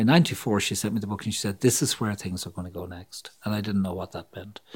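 This man's fairly low voice comes through on a very clean recording with a silent background. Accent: Irish. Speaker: psychologist and author. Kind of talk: interview.

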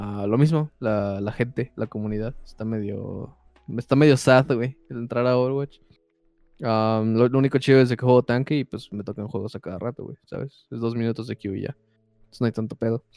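A man with a Mexican accent talks at a fairly quick pace in a medium pitch, his tone dark and mellow. His intonation stays fairly even, though his loudness swings widely. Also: dry, close sound with no echo. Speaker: podcast co-host. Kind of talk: casual chat.

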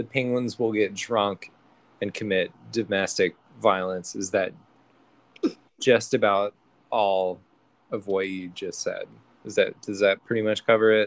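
Dry and close with no echo, a man's fairly low voice moves at a fairly slow pace with long, frequent pauses. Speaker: podcast host. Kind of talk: comedic improvised news parody. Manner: joking, animated.

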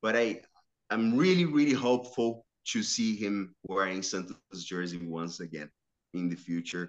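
A man talks at a moderate pace with a Portuguese accent. His fairly low voice carries lively intonation. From Brazil, São Caetano (Metro São Paulo). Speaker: sports journalist and football commentator. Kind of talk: casual interview. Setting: remote call.

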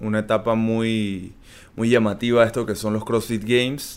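Recorded very cleanly against a silent background, a man talks at a fairly slow pace with a fairly low pitch. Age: 30s. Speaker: athlete. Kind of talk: interview.

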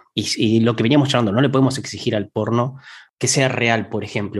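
A man talks at a fairly quick pace against a quiet background. His medium-pitched voice is somewhat breathy. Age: 30s. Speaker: podcast co-host. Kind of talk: casual chat.

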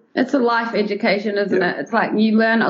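The speech comes very fast over noticeable background noise. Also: woman. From New Zealand. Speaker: travel blogger. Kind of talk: casual interview chat.

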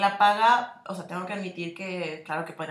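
A woman with a Mexican accent and fairly even intonation. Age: 20s. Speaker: podcast co-host, advertising designer. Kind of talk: casual chat.

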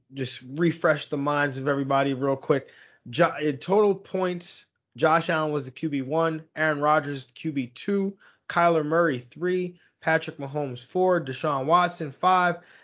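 Fairly high in pitch with fairly even intonation, a man speaks in an unremarkable speaking voice. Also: moderate pace. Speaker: fantasy football podcast host. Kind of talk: casual sports podcast discussion.

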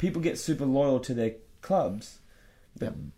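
The speaker is a man with a normal speaking voice. He talks at a fairly quick pace. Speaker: podcast host and volleyball player. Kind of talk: casual chat.

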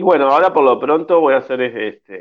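His pitch variation is ordinary. The man's voice sits at a medium pitch. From Uruguay. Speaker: actor. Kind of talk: radio interview. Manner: halting, many repetitions and fillers.

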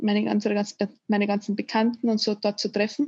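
Somewhat breathy, a woman speaks at a fairly high pitch with a dark, mellow tone. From Austria. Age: 20s. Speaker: former volunteer, engineering student. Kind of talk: interview. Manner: halting, many fillers.

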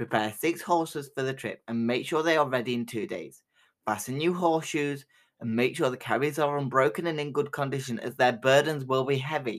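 Over a very clean recording with a silent background, a man talks at a fairly quick pace in an ordinary speaking voice. His pitch is fairly high, with ordinary pitch variation. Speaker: storyteller podcast host. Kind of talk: folk tale narration read aloud from a book, in a cozy fireside storyteller style. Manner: measured, storytelling cadence, warm and inviting.

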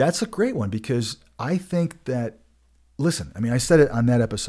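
With lively intonation and a fairly quick pace, a man talks at a medium pitch. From Colorado. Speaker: podcast host. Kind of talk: casual chat. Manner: fast.

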